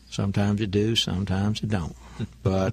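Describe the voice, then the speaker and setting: Lively intonation marks this man's fairly low voice. It comes out somewhat breathy. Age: 60s. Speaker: banker and businessman. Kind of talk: radio interview.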